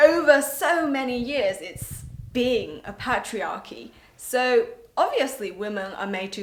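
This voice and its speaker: With lively intonation, a woman speaks amid audible room echo. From northern England (Yorkshire), moved from China at eight. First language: Mandarin Chinese. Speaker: entrepreneur. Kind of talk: personal vlog and interview. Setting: on a train.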